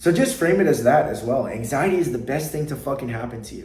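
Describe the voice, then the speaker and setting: A man's lively intonation carries through audible room echo, with noticeable background noise present. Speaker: anxiety coach. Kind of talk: motivational talk to camera. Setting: sitting at a desk. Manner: unscripted, from the heart.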